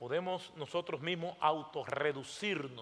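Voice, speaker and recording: A man with a Dominican accent, at a fairly high pitch with ordinary pitch variation and a fairly slow pace. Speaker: pastor. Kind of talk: sermon. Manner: animated.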